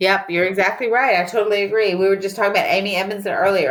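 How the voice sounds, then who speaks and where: This woman talks with a Southern US accent. Her pace is very fast. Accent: Southern US, noticeable. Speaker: business professor and psychologist. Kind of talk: podcast interview.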